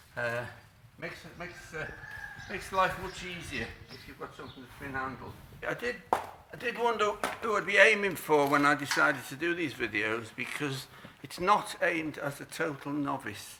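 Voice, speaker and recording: A man speaks at a moderate pace in a fairly high pitch with lively intonation. His loudness swings widely, and there is noticeable background noise. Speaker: horse trainer. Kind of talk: tutorial. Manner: halting, many fillers.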